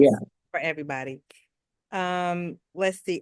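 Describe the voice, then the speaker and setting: Against a quiet background, a woman with a plain, everyday voice talks at a fairly low pitch and a fairly slow pace, with ordinary pitch variation. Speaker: podcast host. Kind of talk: interview questions.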